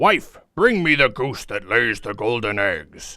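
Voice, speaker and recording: A man does a raspy put-on character voice at medium pitch and a fairly slow pace. The recording is very clean, with a silent background. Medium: read story. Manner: booming, menacing.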